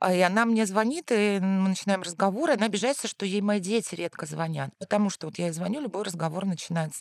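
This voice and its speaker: Talking very fast with hardly any pauses, a woman uses a medium pitch and ordinary pitch variation, the sound dry and close with no echo. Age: 40s. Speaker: journalist and university lecturer, mother of three. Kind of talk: casual chat.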